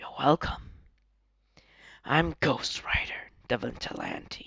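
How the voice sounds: Using a put-on character voice, a man whispers. He goes at a very slow pace.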